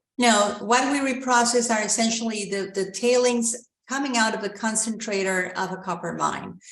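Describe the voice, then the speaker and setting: In a Spanish accent, a woman talks at a fairly high pitch with fairly even intonation. She keeps a moderate pace with hardly any pauses. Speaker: mining company executive. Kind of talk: investor Q&A. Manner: halting, many fillers.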